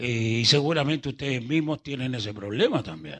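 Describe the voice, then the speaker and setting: Lively intonation marks this man's medium-pitched voice, which has a bright, sharp tone. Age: 70s. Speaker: pastor. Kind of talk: sermon. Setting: church service. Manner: slow, unhurried; calm, not gesticulating.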